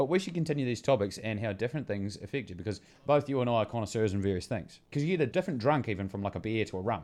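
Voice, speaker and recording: A man with a New Zealand accent speaks at a very fast pace with hardly any pauses. His pitch is medium and his intonation lively, over a quiet background. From Bluff, New Zealand. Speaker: podcast co-host. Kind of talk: casual comedic chat.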